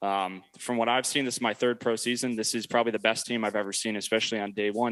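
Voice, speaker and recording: A plain, everyday voice from a man, fairly low in pitch, at a fairly quick pace with fairly even intonation and a quiet background. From US Midwest, Illinois. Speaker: baseball player. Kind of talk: speech at public meeting. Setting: city council meeting.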